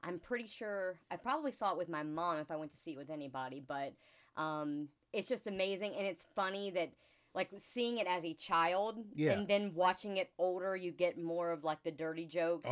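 A woman with a normal speaking voice talks at a moderate pace with lively intonation. Her pitch is fairly low, on a very clean recording with a silent background. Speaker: podcast guest.

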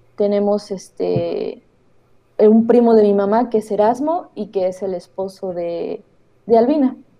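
A woman with a normal speaking voice talks at a fairly slow pace in a fairly high pitch with ordinary pitch variation. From Oaxaca, Mexico. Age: 20s. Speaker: documentary filmmaker. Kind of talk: interview.

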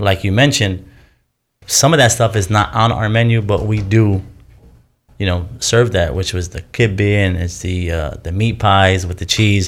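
A man with a plain, everyday voice, fairly low pitch, ordinary pitch variation and moderate pace, on a very clean recording with a silent background. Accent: American. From Detroit, Michigan (Dearborn). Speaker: restaurant owner and chef. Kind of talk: casual chat.

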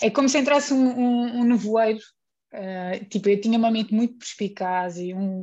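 A somewhat breathy woman's voice with a dark, mellow tone, ordinary pitch variation and a moderate pace over a quiet background. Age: 30s. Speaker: guest. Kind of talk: casual chat.

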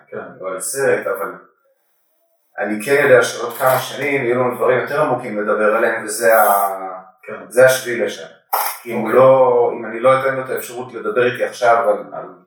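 A man at a fairly quick pace with long, frequent pauses and big swings in loudness, in audible room echo. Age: 40s. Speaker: coffee professional and father. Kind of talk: casual chat. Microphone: faulty microphone, poor recording quality.

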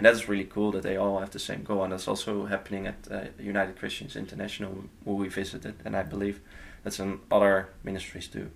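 In a Dutch accent, the speaker rattles along at a very fast pace with vocal fry and monotone, flat intonation. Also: man. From Netherlands. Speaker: nonprofit intern. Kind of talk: casual interview. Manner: halting.

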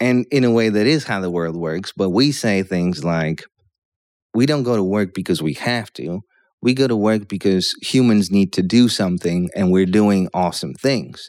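Speaking at a moderate pace, a man with a fairly low pitch uses lively intonation. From Poland, with years in the US. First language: Polish. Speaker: stand-up comedian. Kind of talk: casual chat.

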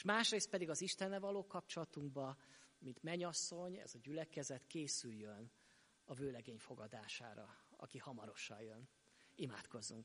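At a moderate pace, a man with a fairly high pitch and a bright, sharp tone makes very wide pitch swings. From Hungary, Sopron. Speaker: pastor. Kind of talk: sermon. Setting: church.

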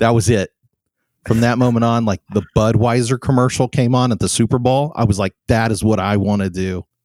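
An unremarkable speaking voice with an American accent and fairly even intonation comes through a very clean recording with a silent background and a dry, close sound with no echo. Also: man, medium pitch for a man, fairly quick pace. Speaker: animator and animation professor. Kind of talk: interview conversation. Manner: casual, many fillers.

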